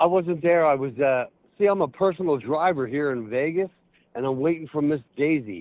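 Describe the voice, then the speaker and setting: A man speaks in a plain, everyday voice with a fairly high pitch. His pace is fairly quick, and his pitch variation is ordinary. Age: 60s. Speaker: caller. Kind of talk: prank call.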